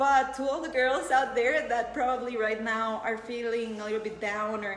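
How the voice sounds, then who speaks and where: In a Spanish accent, the voice moves at a moderate pace with ordinary pitch variation, with audible room echo and noticeable background noise. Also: woman. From Costa Rica. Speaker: beauty pageant contestant. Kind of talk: live Q&A.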